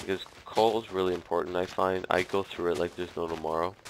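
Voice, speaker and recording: Noticeable background noise is present. The delivery stays monotone and flat. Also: man. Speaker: gaming video commentator. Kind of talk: gameplay commentary. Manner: halting, many fillers.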